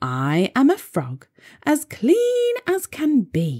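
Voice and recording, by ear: A put-on character voice, female-sounding and high-pitched for a woman, at a very slow pace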